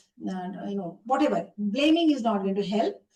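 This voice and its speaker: A dark, mellow, somewhat breathy tone with lively intonation. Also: woman. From India, Uttar Pradesh near Varanasi. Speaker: women's rights activist. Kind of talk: interview.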